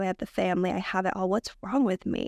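Very fast speech from a woman comes through a very clean recording with a silent background and a dry, close sound with no echo. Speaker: breathwork practitioner. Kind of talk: casual interview chat. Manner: fast talker.

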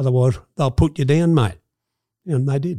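On a very clean recording with a silent background and a dry, close sound with no echo, a man with a strong Australian accent speaks at medium pitch in a dark, mellow tone with ordinary pitch variation. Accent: broad Australian. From Australia, Sydney. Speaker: former gangster. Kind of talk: interview storytelling.

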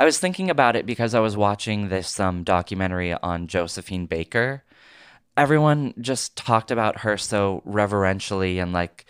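With an American accent, a man in an ordinary speaking voice talks at a moderate pace and fairly low pitch on a very clean recording with a silent background. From Oregon, US. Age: 30s. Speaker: actor and comedian. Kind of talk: casual interview chat.

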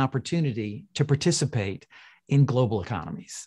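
With a Canadian accent, a man speaks at a moderate pace in a fairly high, somewhat breathy voice with lively intonation. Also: quiet background. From Canada (Toronto). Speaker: behavioral finance researcher. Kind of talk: interview conversation. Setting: video call.

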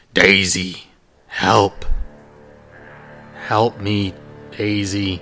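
A man's loud, put-on character voice, guttural, raspy and robotic, fairly low in pitch and flat and monotone, with music in the background.

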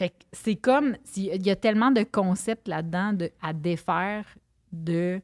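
Speaking at a fairly slow pace in a Quebec accent, a woman of medium pitch uses ordinary pitch variation in a very clean recording with a silent background. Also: dry, close sound with no echo. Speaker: nutritionist and podcaster. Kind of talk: casual chat.

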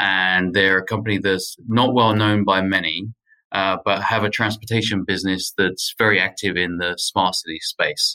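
Speaking with a British accent, a man with a fairly low pitch and a bright, sharp tone talks at a moderate pace in a monotone, flat intonation, the sound dry and close with no echo. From UK. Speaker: technology executive. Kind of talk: interview. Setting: remote call from Paris.

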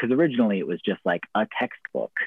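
Lively intonation marks a man speaking with a West Coast accent. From US, rural Oregon. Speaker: professional wrestler and poet. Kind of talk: casual interview.

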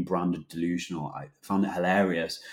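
A man talks at a fairly quick pace with fairly even intonation. The recording is very clean, with a silent background. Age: 20s. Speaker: food company co-founder. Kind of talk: interview.

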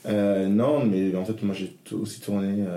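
Audible room echo surrounds this man's voice. He has a fairly low pitch with ordinary pitch variation. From northern France, Lille. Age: 30s. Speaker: drag queen. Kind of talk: casual interview.

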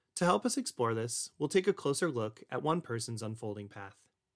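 A man with an ordinary speaking voice talks at a moderate pace, with medium pitch and ordinary pitch variation. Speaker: podcast host. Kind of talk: scripted intro and outro with interview.

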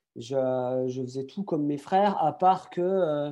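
Dark, mellow tone from a man with a fairly high pitch and ordinary pitch variation. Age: 30s. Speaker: athlete and motivational speaker. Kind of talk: interview. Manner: hesitant.

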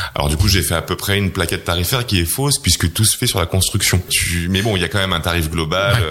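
A man with a very deep, low voice talks very fast with hardly any pauses, over noticeable background noise. His loudness stays very even and his pitch varies in an ordinary way. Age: 30s. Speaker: entrepreneur. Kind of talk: interview. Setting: office.

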